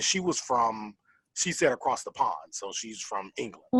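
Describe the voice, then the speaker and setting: A man with an American accent at a fairly slow pace, in a dry, close sound with no echo. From Florida. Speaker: podcast co-host. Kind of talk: casual chat.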